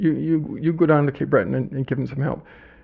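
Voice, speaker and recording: This man has a Canadian accent and a fairly high pitch, with ordinary pitch variation. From Ottawa, Canada. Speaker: author and former city councillor. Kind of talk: interview. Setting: studio. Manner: halting, many repetitions.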